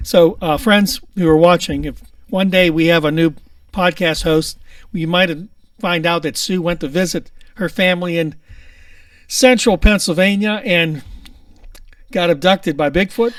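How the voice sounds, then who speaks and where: A man with a Pittsburgh accent speaks at a moderate pace in a high voice with ordinary pitch variation. He leaves long, frequent pauses, and the recording is very clean with a silent background. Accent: Pittsburghese. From Pittsburgh area. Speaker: podcast host. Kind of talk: casual chat.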